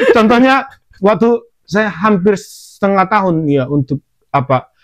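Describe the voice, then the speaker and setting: Speaking with a Medan accent, a man with a high pitch and lively intonation talks at a fairly slow pace in a dry, close sound with no echo. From Indonesia, Medan (North Sumatra). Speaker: podcast host, former trainee worker in Japan. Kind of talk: casual chat.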